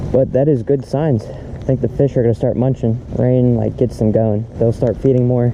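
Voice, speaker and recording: A man speaks at a moderate pace in monotone, flat intonation. Noticeable background noise is present. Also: medium pitch for a man. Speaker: fishing vlogger. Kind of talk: casual vlog commentary. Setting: outdoors fishing in rain.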